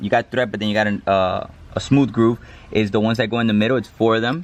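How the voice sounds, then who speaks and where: A man's voice, medium in pitch, comes through noticeable background noise. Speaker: hobby mechanic. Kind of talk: tutorial. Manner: occasional stutter today; casual, hesitant with fillers.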